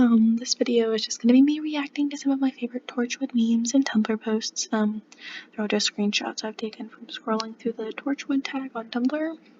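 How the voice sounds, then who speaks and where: A woman speaks quietly in a high pitch with fairly even intonation and big swings in loudness. The sound is dry and close with no echo, yet noticeable background noise remains. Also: moderate pace. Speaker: fan video creator. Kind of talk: casual reaction video. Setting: at home late at night. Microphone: cheap mic.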